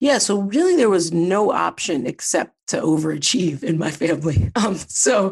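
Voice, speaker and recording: Over a quiet background, a woman speaks with lively intonation at a moderate pace. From US Midwest, Ohio (Columbus suburb). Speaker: behavioral scientist and company founder. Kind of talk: interview conversation.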